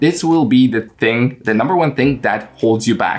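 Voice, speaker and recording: Music plays in the background as a man talks. His pitch is medium, his pace moderate, and his pitch variation ordinary. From Poland, small village. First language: Polish. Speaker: English learning coach and YouTuber. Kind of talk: casual vlog talk to camera. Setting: at home in his room. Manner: frequent fillers and hesitations.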